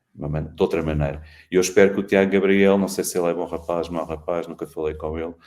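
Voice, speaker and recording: Talking at a very fast pace, a man with a very deep, low pitch keeps a monotone, flat intonation. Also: very clean recording, silent background. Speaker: sports journalist, podcast co-host. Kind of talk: casual panel discussion on football.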